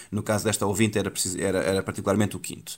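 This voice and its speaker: A man speaks with a fairly low pitch. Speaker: newspaper columnist, education specialist. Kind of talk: radio panel discussion.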